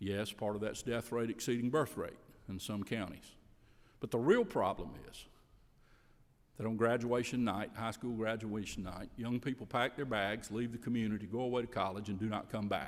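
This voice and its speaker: A man with an American accent talks at a moderate pace and medium pitch with fairly even intonation, in a normal speaking voice. The recording is very clean, with a silent background. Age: 60s. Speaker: rural development center director. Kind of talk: legislative committee testimony. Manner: formal.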